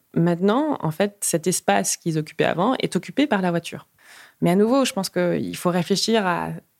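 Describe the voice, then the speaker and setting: Talking at a fairly quick pace, a woman with a fairly low pitch shows vocal fry and ordinary pitch variation. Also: dry, close sound with no echo. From Luxembourg, Peruvian family. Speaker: road safety activist. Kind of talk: interview. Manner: animated, with many hesitations.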